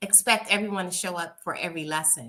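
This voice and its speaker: A woman with a bright, sharp tone and ordinary pitch variation. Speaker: sewing teacher. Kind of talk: interview. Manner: enthusiastic.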